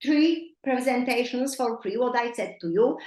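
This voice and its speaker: Her pitch is high for a woman. She speaks at a moderate pace. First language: not English. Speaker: nutrition coach. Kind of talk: coaching call. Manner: halting.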